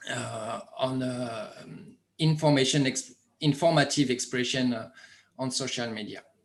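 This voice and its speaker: Speaking with a French accent, a man at medium pitch moves at a fairly slow pace with fairly even intonation and long, frequent pauses. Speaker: media project presenter. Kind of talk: online conference presentation. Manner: halting.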